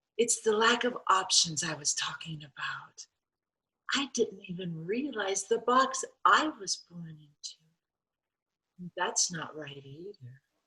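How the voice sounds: A woman's put-on character voice, fairly low in pitch, with a bright, sharp tone, a husky, rough edge, lively intonation and a slow pace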